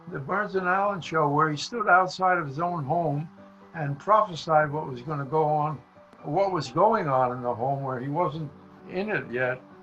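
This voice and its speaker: With music in the background, a man with an American accent talks at a fairly high pitch and fairly slow pace, using lively intonation. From The Bronx, New York. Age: 80s+. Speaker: comedy writer and performer. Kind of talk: interview answer.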